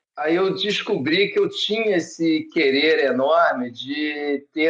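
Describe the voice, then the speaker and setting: With an ordinary speaking voice, a man talks at a fairly high pitch and ordinary pitch variation. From Brazil, Rio de Janeiro. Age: 60s. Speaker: surfboard shaper. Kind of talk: podcast interview.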